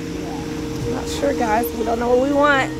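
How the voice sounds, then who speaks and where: A woman speaks at a moderate pace over music in the background, the sound dry with no echo. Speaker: food vlogger. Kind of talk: casual vlog chat. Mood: relaxed, playful. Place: cafe. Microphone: phone near.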